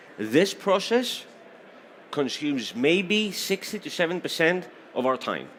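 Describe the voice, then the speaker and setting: A fairly slow, animated male voice with a Greek accent and very wide pitch swings. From Greece. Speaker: certification exam program presenter. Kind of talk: technical presentation. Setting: stage with audience.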